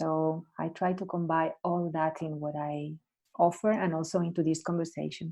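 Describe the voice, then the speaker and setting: Speaking with a Spanish accent at a moderate pace, a woman uses a fairly low pitch and a dark, mellow tone in a monotone, flat delivery. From Spain. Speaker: coach and Alexander Technique teacher. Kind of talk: casual chat.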